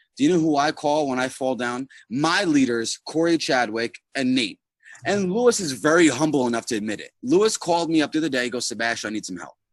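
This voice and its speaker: A man talks at a very fast pace in an animated tone with lively intonation. The sound is dry and close, with no echo. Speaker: network marketing team leader. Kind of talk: motivational talk on a group call. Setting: online group video call. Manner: loud. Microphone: too quiet.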